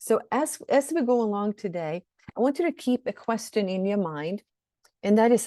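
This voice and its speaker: In a Swedish accent, a woman speaks with a fairly high pitch, a dark, mellow tone and lively intonation, recorded dry and close with no echo against a quiet background. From Sweden. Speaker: shadow work coach. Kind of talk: webinar teaching. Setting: online webinar.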